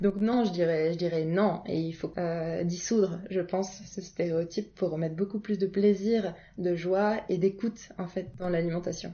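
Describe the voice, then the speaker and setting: The intonation is fairly even and the pace fairly slow, with hardly any pauses and noticeable background noise. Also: woman. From Paris region, France. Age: 20s. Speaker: naturopath and wellness coach. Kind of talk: interview conversation. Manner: hesitant, many filler sounds.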